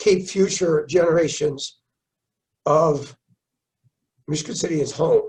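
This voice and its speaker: This man's voice is fairly high in pitch with a dark, mellow tone. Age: 70s. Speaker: mayor. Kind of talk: interview. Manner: halting, repeats words.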